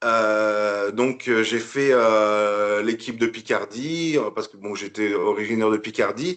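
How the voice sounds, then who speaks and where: A man speaks at a very slow pace with hardly any pauses, his medium-pitched voice keeping a fairly even intonation while its loudness swings widely. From northern France (Picardy). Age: 40s. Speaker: bodybuilder, retired military. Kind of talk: podcast interview. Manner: hesitant, many fillers.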